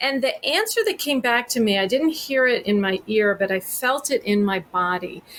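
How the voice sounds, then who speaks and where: With an American accent, a woman speaks at a high pitch and a moderate pace with hardly any pauses, very even loudness and very wide pitch swings. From Texas. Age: 50s. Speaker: therapist. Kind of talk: podcast interview.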